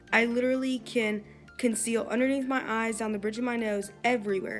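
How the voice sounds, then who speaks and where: There is music in the background. A woman speaks at a moderate pace in a fairly high pitch. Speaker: makeup tutorial host. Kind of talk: makeup tutorial voiceover.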